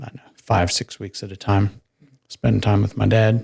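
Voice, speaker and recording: Somewhat breathy, a man talks with a slight southern African accent. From Namibia. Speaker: retired military pilot. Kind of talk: interview testimony.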